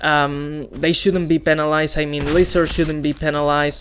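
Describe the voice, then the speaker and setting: Noticeable background noise is present throughout. The talking moves fairly quickly. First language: Spanish. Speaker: gaming YouTuber. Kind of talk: opinion video monologue. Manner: halting.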